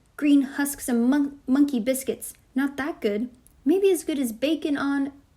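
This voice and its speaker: Putting on a character voice, a woman speaks breathily at a high pitch and a moderate pace. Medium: read story. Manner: breathy, eager.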